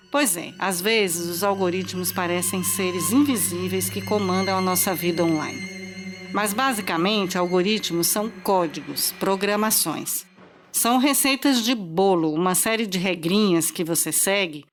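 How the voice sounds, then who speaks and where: Over music in the background, a woman speaks at a fairly slow pace with a medium pitch and ordinary pitch variation. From Brazil, Recife (Pernambuco). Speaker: journalist podcast host. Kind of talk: scripted podcast narration.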